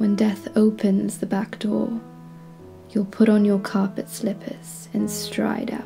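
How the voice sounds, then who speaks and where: Music plays in the background while a woman speaks at a very slow pace. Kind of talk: poetry reading.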